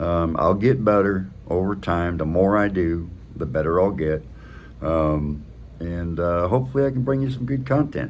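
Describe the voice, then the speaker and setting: A man's very deep, low voice in a relaxed tone, with very wide pitch swings, a moderate pace and audible room echo. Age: 60s. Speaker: motorcycle vlogger. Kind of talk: casual vlog monologue. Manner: relaxed, with many fillers.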